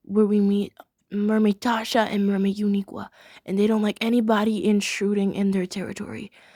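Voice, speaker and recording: A woman's medium-pitched voice with a dark, mellow tone, flat monotone intonation and a fairly quick pace, in a dry, close sound with no echo. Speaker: youtuber reviewing cartoon episodes. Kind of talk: casual review monologue.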